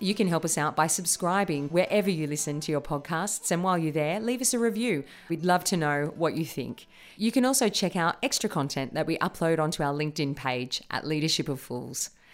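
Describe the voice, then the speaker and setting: A woman's unremarkable speaking voice, fairly low-pitched, with lively intonation and a fairly quick pace on a very clean recording with a silent background. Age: 40s. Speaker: podcast co-host, improviser. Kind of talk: casual chat; scripted outro.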